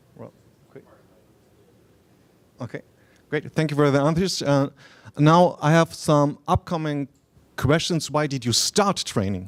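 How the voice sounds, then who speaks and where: A man with a German accent speaks at a fairly high pitch and a fairly slow pace, with ordinary pitch variation and big swings in loudness. Long, frequent pauses break up his speech, and the recording is very clean with a silent background. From Germany. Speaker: martial arts researcher. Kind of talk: conference lecture. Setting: stage with audience. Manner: halting.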